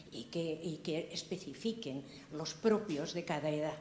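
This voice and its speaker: A woman's fairly low pitch moves with ordinary pitch variation, and noticeable background noise is present. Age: 80s+. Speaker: audience member. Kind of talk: audience question.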